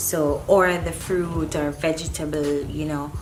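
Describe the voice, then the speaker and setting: Noticeable background noise sits behind the recording. A woman speaks at a very deep, low pitch with ordinary pitch variation. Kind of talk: casual talk to camera.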